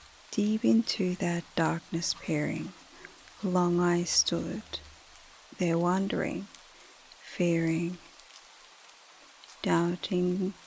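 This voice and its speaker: The voice has a calm, gentle tone and moves at a very slow pace with long, frequent pauses, against noticeable background noise. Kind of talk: sleep story, calm poetry reading. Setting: gentle rain in the background. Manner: calm, gentle, relaxing.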